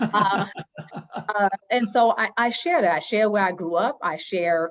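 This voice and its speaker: A woman with an American accent speaks at a fairly slow pace, her pitch varying in an ordinary way. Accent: New York accent, noticeable in the South. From New York. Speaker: education consultant and workshop facilitator. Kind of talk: interview conversation. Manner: hesitant, many fillers.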